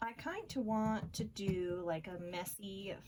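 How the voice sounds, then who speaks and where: Her voice is somewhat breathy, and its pitch varies in an ordinary way. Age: 30s. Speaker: craft YouTuber. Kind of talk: tutorial. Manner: casual, chatty.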